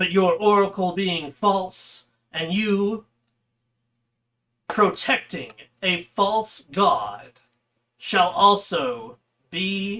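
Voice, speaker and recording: A put-on character voice from a man, pitched high. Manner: menacing, proclaiming.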